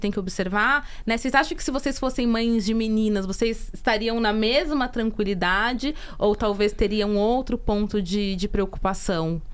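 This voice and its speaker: A woman speaks at a fairly high pitch. Hers is an ordinary speaking voice. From interior of Brazil. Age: 30s. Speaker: podcast co-host. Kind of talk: casual podcast conversation.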